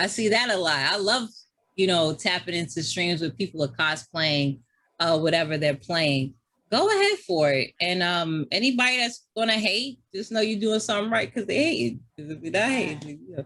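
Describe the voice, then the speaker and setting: A woman with a New York accent speaks at a moderate pace in a fairly low pitch. Her tone is animated, with very wide pitch swings. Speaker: gamer and streamer. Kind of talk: casual chat. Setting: podcast.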